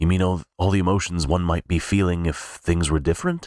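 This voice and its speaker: A put-on character voice goes at a fairly quick pace in a monotone, flat intonation with very even loudness, on a very clean recording with a silent background. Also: man, very deep, low pitch for a man. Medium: read story.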